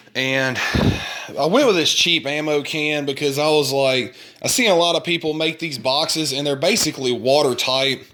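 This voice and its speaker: At a moderate pace and a fairly high pitch, a man talks while noticeable background noise continues. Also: ordinary pitch variation. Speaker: DIY hobbyist showing an ATV speaker build. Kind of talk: casual show-and-tell video. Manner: halting, stumbling over words.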